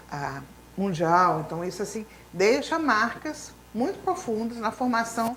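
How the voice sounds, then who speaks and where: A woman speaks with lively intonation. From grew up abroad in Latin America (Bolivia etc.), German school. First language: Spanish (speaking Portuguese). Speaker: teacher. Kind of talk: interview.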